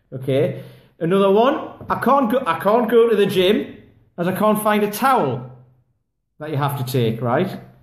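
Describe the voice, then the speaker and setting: A high-pitched man's voice with very wide pitch swings and audible room echo. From England. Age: 40s. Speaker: kettlebell fitness coach; kettlebell coach. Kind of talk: casual vlog monologue. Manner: rambling, filler-heavy. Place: home room. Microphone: phone near.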